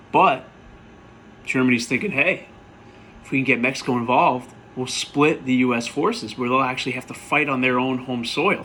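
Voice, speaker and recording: A man with an American accent talks at medium pitch and a moderate pace, with ordinary pitch variation and long, frequent pauses, over noticeable background noise. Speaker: history teacher. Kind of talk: recap lecture to students. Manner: casual, conversational.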